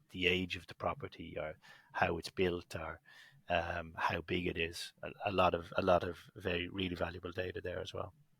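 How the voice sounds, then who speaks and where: A man with an Irish accent and a very deep, low pitch speaks at a fairly quick pace in a bright, sharp tone, recorded very cleanly over a silent background. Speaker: business executive. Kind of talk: podcast interview.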